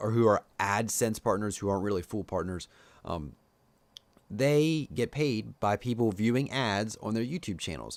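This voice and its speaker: On a very clean recording with a silent background, a man with a Pennsylvania Dutch accent speaks in a fairly low voice with lively intonation. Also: moderate pace. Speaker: tech YouTuber and podcast host. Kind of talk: casual solo podcast talk. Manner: casual, many fillers.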